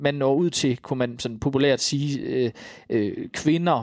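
The very clean recording has a silent background, with a man speaking at a fairly high pitch. He talks at a fairly slow pace with ordinary pitch variation. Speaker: author and cultural journalist. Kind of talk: interview. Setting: recorded at guest's home. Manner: halting, many fillers and repetitions.

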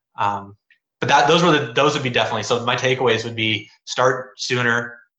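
In an American accent, a man with an unremarkable speaking voice talks at a moderate pace with a medium pitch and fairly even intonation. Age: 20s. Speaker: law school applicant, Marine veteran. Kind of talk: casual interview. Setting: online live stream with audience.

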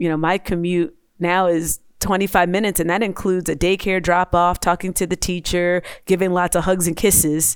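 Speaking fairly quickly with very even loudness, a woman with an American accent uses a monotone, flat delivery at a fairly low pitch, captured on a very clean recording with a silent background. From New Jersey, Maplewood. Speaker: transportation official and author. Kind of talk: interview.

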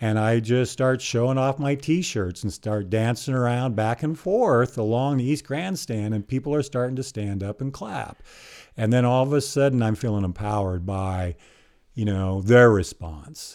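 Here a man speaks at a fairly slow pace with a medium pitch and ordinary pitch variation. The recording is very clean, with a silent background. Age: 60s. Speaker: environmental activist and video maker. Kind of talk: casual interview. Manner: halting, many fillers.

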